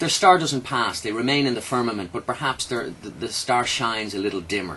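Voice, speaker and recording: In an Irish accent, a man talks at a very fast pace. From Ireland. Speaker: radio host. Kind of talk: radio interview chat. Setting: radio studio.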